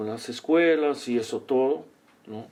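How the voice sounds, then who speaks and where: Very slow delivery in a Portuguese accent, with ordinary pitch variation. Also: man. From Brazil. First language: Portuguese (speaking Spanish). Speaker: psychologist and organizational consultant. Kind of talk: interview. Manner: halting.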